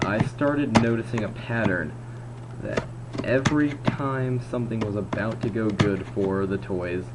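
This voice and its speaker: Over noticeable background noise and audible room echo, a man with a fairly low pitch and ordinary pitch variation speaks at a fairly slow pace. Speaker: video blogger reviewing movies. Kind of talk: casual video review monologue. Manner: slurred, drawn-out word pronunciation; halting, self-correcting.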